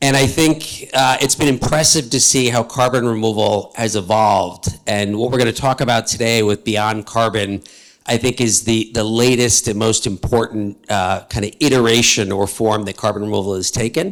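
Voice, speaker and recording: With a New York accent, a man talks at a moderate pace with hardly any pauses. His pitch is medium and varies in an ordinary way. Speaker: panel moderator. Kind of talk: panel discussion. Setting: stage with audience.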